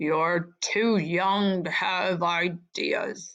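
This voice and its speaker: A woman puts on a character voice at a medium pitch. She mumbles her words. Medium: read story. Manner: mournful, mumbling.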